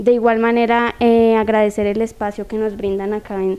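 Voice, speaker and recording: Speaking at a moderate pace, a woman keeps her fairly high voice monotone and flat. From Colombia. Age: young. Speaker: youth council member. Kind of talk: TV interview. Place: studio. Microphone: handheld.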